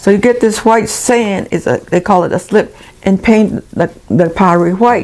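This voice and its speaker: Music can be heard behind the speaker. She is a woman whose voice sits at a medium pitch. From Acoma Pueblo, New Mexico. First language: Acoma Keres. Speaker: Native elder. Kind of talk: interview. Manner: halting.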